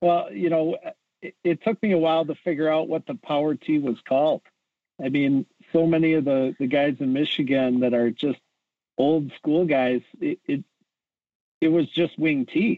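With an Upper Midwestern accent, a man talks in a fairly high pitch at a moderate pace. He leaves long, frequent pauses. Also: ordinary pitch variation. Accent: Upper Midwestern American. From Wisconsin (Edgerton). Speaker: high school football coach. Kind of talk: interview. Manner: hesitant with fillers.

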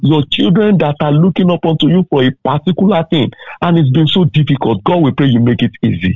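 A man speaks in a normal speaking voice at a fairly quick pace, his fairly high pitch carried by lively intonation and very even loudness. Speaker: preacher. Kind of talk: sermon. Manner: fervent, exhortative.

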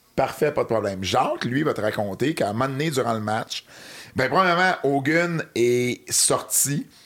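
A man with a normal speaking voice talks at a medium pitch with lively intonation. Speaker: wrestling historian and commentator. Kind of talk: casual chat.

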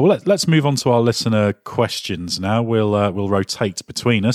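A man with a British accent talks at a fairly quick pace and a medium pitch with lively intonation, the sound dry and close with no echo in a very clean recording with a silent background. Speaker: podcast host. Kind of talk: casual chat. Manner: halting.

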